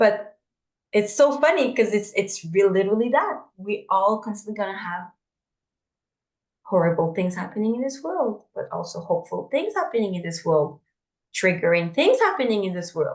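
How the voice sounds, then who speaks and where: Using lively intonation and a medium pitch, a woman with a non-native accent speaks at a moderate pace with long, frequent pauses. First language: not English. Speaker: podcast co-host. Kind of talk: casual spiritual discussion. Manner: halting, repeats words.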